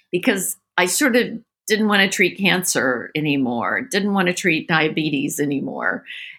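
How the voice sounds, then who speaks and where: Very wide pitch swings and a bright, sharp tone in an American accent, at a moderate pace with very even loudness, on a very clean recording with a silent background. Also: woman, medium pitch for a woman. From grew up abroad in US military family. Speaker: holistic veterinarian. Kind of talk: interview.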